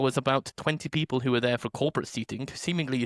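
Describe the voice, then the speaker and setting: A man with a British accent speaks very fast in a fairly high voice. His pitch varies in an ordinary way, and the sound is dry and close with no echo. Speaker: podcast host. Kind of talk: casual chat. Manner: loud; animated.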